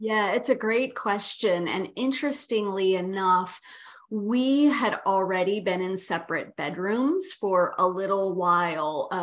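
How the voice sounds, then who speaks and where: This is an unremarkable speaking voice from a woman, pitched in the medium range. She goes fairly slowly, varying her pitch in an ordinary way. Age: 50s. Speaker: yoga therapist. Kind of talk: casual interview conversation.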